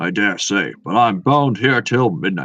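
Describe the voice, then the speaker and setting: Against a quiet background, a man uses a put-on character voice, rumbling and raspy at a fairly low pitch, delivered at a moderate pace. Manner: grumbling.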